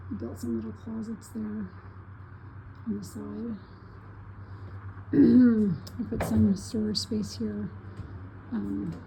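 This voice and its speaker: Amid noticeable background noise, a woman speaks at a very slow pace in a very deep, low voice with monotone, flat intonation. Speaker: kit home builder. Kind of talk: casual home tour walkthrough.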